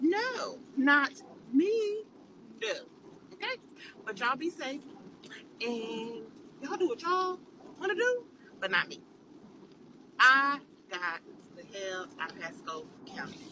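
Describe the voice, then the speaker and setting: A bright, sharp, animated tone in a raised, projected voice, with very wide pitch swings, big swings in loudness, a fairly slow pace and long, frequent pauses. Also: woman, high pitch for a woman. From California. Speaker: social media poster. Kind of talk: casual rant to camera.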